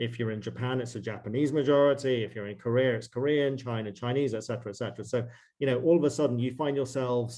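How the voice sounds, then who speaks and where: Speaking very fast with a British accent, a man keeps a medium pitch and fairly even intonation. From northwest England. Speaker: investment banker. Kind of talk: interview.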